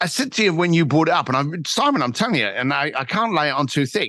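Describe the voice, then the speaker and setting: In a London accent, a man talks fairly quickly with a bright, sharp tone. His pitch swings very widely over a quiet background. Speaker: entrepreneur and author. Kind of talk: podcast interview.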